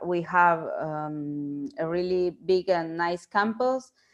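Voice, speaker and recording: A woman speaks with a Spanish accent and a fairly even intonation. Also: quiet background. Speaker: researcher and professor. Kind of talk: lecture. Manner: halting, many fillers.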